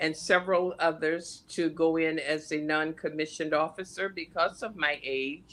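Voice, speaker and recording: On a very clean recording with a silent background, a woman speaks with very deep, low pitch and a bright, sharp tone. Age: 80s+. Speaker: military veteran, former psychiatric nurse. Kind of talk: interview.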